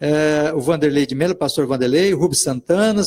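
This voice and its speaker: A normal speaking voice moves at a fairly quick pace with ordinary pitch variation. The sound is dry and close, with no echo. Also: man. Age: 60s. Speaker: pastor and radio host. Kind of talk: live radio interview. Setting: radio studio, live broadcast.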